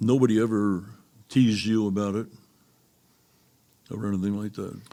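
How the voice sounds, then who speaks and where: A man's dark, mellow voice, fairly low in pitch, with monotone, flat intonation at a moderate pace. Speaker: retired businessman, father. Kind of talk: casual interview. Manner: halting.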